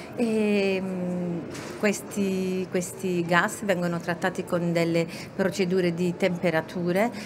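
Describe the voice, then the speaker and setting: In an Italian accent, a woman with a medium pitch speaks very slowly in a flat, monotone intonation over noticeable background noise. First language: Italian (speaking French). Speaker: company manager. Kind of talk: interview. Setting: radio set at a trade fair.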